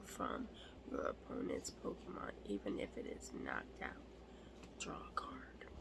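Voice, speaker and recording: The speaker is whispering at a fairly slow pace. Noticeable background noise can be heard. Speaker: ASMR creator. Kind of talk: ASMR card show-and-tell.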